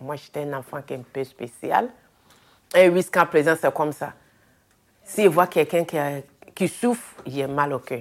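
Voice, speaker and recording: A woman with a very deep, low pitch talks at a moderate pace with lively intonation, big swings in loudness and long, frequent pauses. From Ivory Coast, Abidjan. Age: 40s. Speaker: hospital cleaner. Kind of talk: interview testimony.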